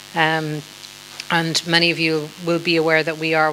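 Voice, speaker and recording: The speaker has an Irish accent and a moderate pace. The intonation stays flat and monotone. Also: woman. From Ireland. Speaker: politician, former member of parliament. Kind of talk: panel discussion. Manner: hesitant, many fillers.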